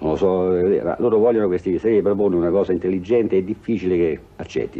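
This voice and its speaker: A man with a very deep, low voice talks at a very fast pace, with fairly even intonation and very even loudness. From Italy. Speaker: film director. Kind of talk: interview answer. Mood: joking, ironic. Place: home room. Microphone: old recording.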